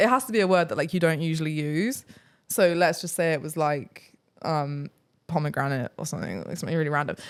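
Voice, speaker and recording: A woman with a British accent speaks at a very fast pace in a very deep, low voice, her tone animated and her intonation lively. The recording is very clean, with a silent background. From England, countryside outside London. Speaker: travel vlogger. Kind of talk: casual chat.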